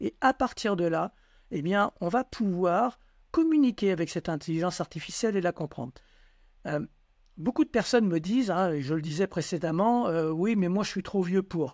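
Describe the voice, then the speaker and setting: A man's high-pitched voice with lively intonation, dry and close with no echo, on a very clean recording with a silent background. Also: moderate pace. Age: 60s. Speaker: entrepreneur and educational book author. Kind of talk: casual chat.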